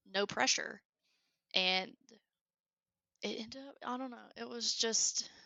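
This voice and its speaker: A woman with a strong Southern US accent at a moderate pace, with long, frequent pauses and big swings in loudness. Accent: thick southern. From US South, Alabama. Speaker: engineer and creative hobbyist. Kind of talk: casual chat. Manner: animated.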